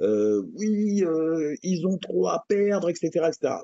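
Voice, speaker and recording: This man's voice sits at a fairly high pitch. It moves through very wide pitch swings. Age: 50s. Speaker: MMA coach. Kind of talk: interview. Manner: hesitant, many fillers.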